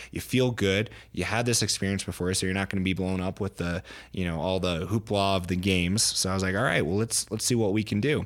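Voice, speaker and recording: Talking at a very fast pace, a man with an American accent has a fairly low pitch and fairly even intonation. The recording is very clean, with a silent background. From Pennsylvania. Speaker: Paralympic alpine skier. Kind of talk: interview.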